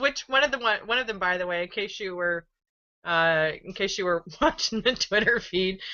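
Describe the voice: A woman's medium-pitched voice with a bright, sharp tone and ordinary pitch variation. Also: moderate pace.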